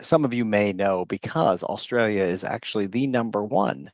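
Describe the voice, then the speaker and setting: Speaking at a moderate pace with an American accent, a man has an ordinary speaking voice, fairly low in pitch with ordinary pitch variation, over a quiet background with a dry, close sound and no echo. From United States. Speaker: psychologist and chief science officer. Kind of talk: conference presentation. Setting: virtual forum.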